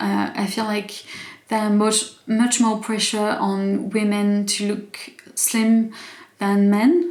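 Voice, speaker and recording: A woman's very slow, fairly high voice with a non-native accent and fairly even intonation, in audible room echo. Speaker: YouTuber. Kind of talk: casual vlog commentary. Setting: home, evening, in pajamas. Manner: halting, many fillers and restarts.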